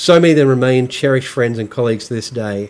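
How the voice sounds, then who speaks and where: A man with an Australian accent talks at a fairly quick pace, his pitch medium and his intonation fairly even. The recording is very clean, with a silent background. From Australia, rural New South Wales. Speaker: podcast host. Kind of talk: personal monologue.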